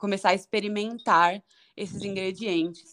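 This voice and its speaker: A woman speaks with fairly even intonation. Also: quiet background. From Brazil, São Paulo (north zone). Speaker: chef. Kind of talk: interview.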